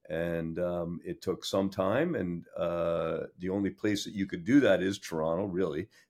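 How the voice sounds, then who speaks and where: A man with a Canadian accent speaks in a very deep, low pitch with ordinary pitch variation. His pace is fairly slow, with hardly any pauses. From Sudbury, Ontario, Canada. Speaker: lawyer. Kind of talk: interview.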